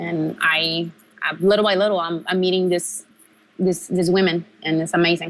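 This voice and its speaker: Speaking in a Mexican accent, a woman keeps a fairly low pitch and fairly even intonation at a moderate pace. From Mexico, Tijuana. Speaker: professional wrestler. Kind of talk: interview.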